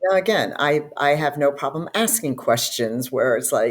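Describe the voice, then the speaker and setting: The pitch swings very widely up and down. The pace is fairly slow. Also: woman. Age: 60s. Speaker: podcast host. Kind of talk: casual interview chat.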